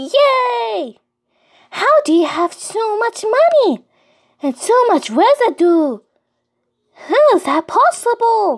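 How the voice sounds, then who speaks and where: Putting on a character voice, a woman speaks very slowly at an extremely high pitch, with very wide pitch swings and long, frequent pauses. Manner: excited, scatterbrained.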